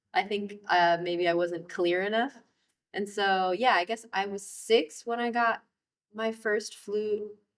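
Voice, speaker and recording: A woman with an American accent speaks in an unremarkable speaking voice, medium in pitch with fairly even intonation and a fairly slow pace. The recording is very clean, with a silent background. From Maryland, DC area. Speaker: jazz flutist. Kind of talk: oral history interview. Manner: casual, filler-heavy.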